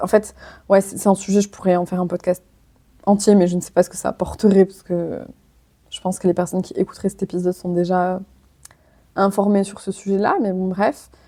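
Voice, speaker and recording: Through a dry, close sound with no echo, a woman with a dark, mellow tone speaks at a fairly quick pace in a monotone, flat intonation, with long, frequent pauses and big swings in loudness. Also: medium pitch for a woman. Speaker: physiotherapist and podcast host. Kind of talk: solo podcast monologue. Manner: casual, hesitant with fillers.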